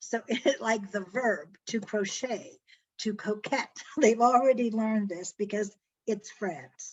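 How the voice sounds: A woman talks at a slow pace. Her voice carries a slightly husky edge. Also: medium pitch for a woman, ordinary pitch variation.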